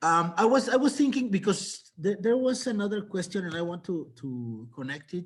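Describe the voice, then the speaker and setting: A man is speaking. He has a Mexican accent. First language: Spanish. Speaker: novelist. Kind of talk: panel discussion. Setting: video call. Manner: halting.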